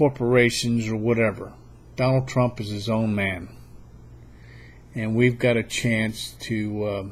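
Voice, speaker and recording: A man's medium-pitched, somewhat breathy voice, flat and monotone, at a fairly slow pace with long, frequent pauses. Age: 60s. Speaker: political video blogger. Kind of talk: political monologue. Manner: halting.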